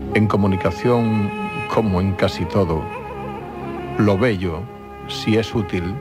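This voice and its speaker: With clear music in the background, a man talks very slowly, leaving long, frequent pauses. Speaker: TV presenter. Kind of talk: TV show intro monologue. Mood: calm, intimate, earnest. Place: studio. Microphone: studio mic.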